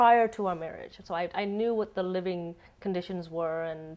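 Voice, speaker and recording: With a slight Asian accent, the speaker moves at a moderate pace and ordinary pitch variation against a quiet background. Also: woman. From United States. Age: 30s. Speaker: interviewee, expat. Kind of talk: interview. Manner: halting, many repeats and fillers.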